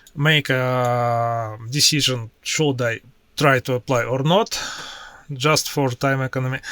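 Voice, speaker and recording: A man speaks at a very slow pace with fairly even intonation. His tone is bright and sharp. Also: medium pitch for a man. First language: Russian. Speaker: IT professional and tech YouTuber. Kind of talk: screen-share tutorial. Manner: halting, with many filler sounds.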